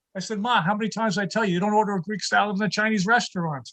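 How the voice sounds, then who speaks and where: A man's raised, projected voice, high-pitched and bright, sharp in tone, at a very fast pace with fairly even intonation, in a dry, close sound with no echo. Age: 60s. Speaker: stand-up comedian. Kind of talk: stand-up. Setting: video call.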